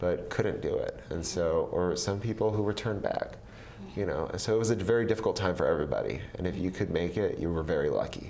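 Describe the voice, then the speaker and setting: The room echo is audible. A man speaks at a very fast pace. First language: Vietnamese. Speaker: government official. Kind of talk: interview. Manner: frequent fillers and restarts.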